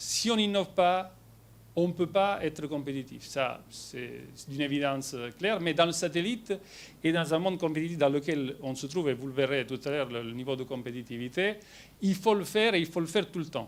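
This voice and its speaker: With a strong Italian accent and lively intonation, the speaker moves at a fairly quick pace on a very clean recording with a silent background. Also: man. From Italy. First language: Italian (speaking French). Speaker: company executive. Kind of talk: presentation to shareholders. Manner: hesitant with many fillers.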